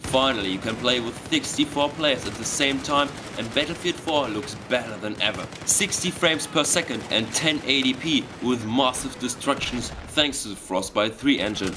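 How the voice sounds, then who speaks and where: With a German accent, a man speaks at a moderate pace and medium pitch with ordinary pitch variation, noticeable background noise audible. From Germany. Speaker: gaming video narrator. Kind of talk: scripted narration. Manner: enthusiastic.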